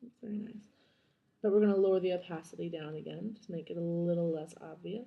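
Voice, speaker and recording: Quiet and fairly low-pitched, a woman talks at a very fast pace. Her intonation stays fairly even. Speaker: digital artist. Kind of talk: screen-recorded software tutorial. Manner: droll.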